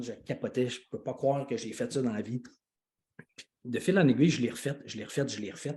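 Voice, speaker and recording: Speaking with a Quebec accent, a man has a somewhat breathy, dark, mellow tone at a medium pitch. He moves at a fairly quick pace with ordinary pitch variation. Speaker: life coach and speaker. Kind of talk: live video call announcement. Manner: animated.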